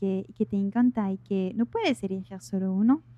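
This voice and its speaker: A woman's dark, mellow tone with a slight French accent and ordinary pitch variation, in a dry, close sound with no echo. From France. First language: French (speaking Spanish). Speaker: life coach. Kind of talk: interview. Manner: hesitant, many fillers.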